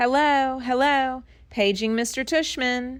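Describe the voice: A woman adopts a put-on character voice, high in pitch and fairly slow in pace.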